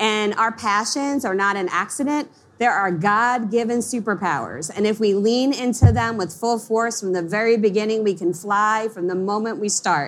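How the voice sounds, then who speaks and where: A woman with an American accent has an ordinary speaking voice at a fairly high pitch and ordinary pitch variation. She talks at a moderate pace with hardly any pauses. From US Northeast, Long Island. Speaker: marketing coach, entrepreneur. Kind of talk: interview on a conference stage. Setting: stage with audience.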